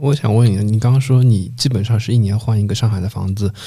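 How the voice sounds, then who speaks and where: On a very clean recording with a silent background, a man with a fairly low, dark, mellow, somewhat breathy voice talks at a fairly quick pace with ordinary pitch variation. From Shanghai (Changning district). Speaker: podcast host. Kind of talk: casual chat.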